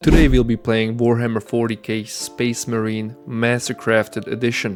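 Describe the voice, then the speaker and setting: Behind this man is music in the background. He speaks at a medium pitch and a moderate pace, with monotone, flat intonation. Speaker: gameplay commentator for sleep videos. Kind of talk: sleep gameplay intro talk to viewer. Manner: soft-spoken.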